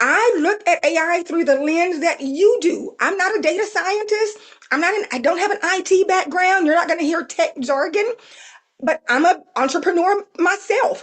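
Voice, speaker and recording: Speaking in a Southern US accent, a woman uses an extremely high pitch. Her intonation is lively and her pace moderate. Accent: Southern twang. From South Texas. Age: 50s. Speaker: AI consultant and trainer. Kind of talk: webinar presentation. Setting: live webinar.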